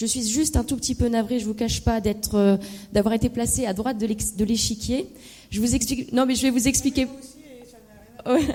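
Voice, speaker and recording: A woman's somewhat breathy, fairly high voice with a dark, mellow tone and ordinary pitch variation. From Lorraine, France (Meurthe-et-Moselle, Moselle). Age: 30s. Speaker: political candidate. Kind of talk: debate presentation. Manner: hesitant, many fillers.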